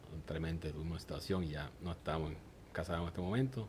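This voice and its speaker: Speaking with a Puerto Rican accent, a man uses a very deep, low pitch at a fairly quick pace with ordinary pitch variation. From Puerto Rico, Aguadilla. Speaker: church member giving testimony. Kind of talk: testimony interview.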